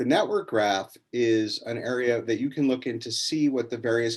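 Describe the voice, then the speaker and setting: A man with a plain, everyday voice speaks at a fairly slow pace with ordinary pitch variation. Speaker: education company academic lead. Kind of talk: webinar tutorial.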